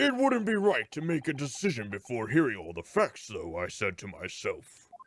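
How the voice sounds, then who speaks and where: Putting on a pompous character voice, a man speaks at a moderate pace with fairly high pitch and big swings in loudness. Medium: video game.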